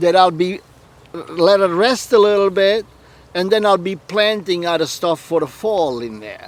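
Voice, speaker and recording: A man speaks at high pitch with ordinary pitch variation. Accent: Italian. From Puglia, southern Italy. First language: Italian. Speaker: home gardener. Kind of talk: interview answer. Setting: outdoors.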